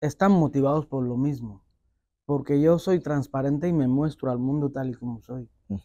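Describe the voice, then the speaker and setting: A man with a fairly high pitch and a dark, mellow tone speaks at a moderate pace with ordinary pitch variation. The sound is dry with no echo, over a quiet background. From Equatorial Guinea. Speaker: rapper; interviewee. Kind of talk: interview.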